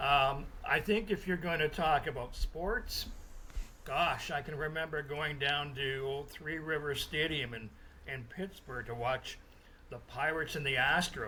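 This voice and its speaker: An ordinary speaking voice comes from a man with a Canadian accent, talking fairly slowly at a fairly high pitch with ordinary pitch variation. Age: 60s. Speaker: sports journalist. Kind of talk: interview. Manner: casual, with frequent fillers.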